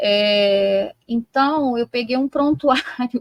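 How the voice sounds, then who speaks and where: Here a woman speaks with a high pitch. Her intonation is fairly even. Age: 50s. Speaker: psychology professor. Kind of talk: interview discussion. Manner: hesitant, many fillers.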